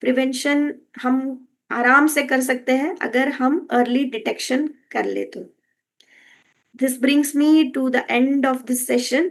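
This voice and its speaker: In a Kannada accent, a woman talks at a high pitch with fairly even intonation. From Karnataka, India. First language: Kannada (speaking Hindi). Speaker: health and wellness educator. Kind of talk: educational talk. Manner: Hindi-English code-switching with frequent fillers.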